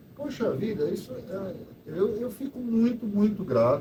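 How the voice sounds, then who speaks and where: A man's voice with audible room echo. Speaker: photo club organizer. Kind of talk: casual talk to live audience. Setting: event hall with audience. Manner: halting.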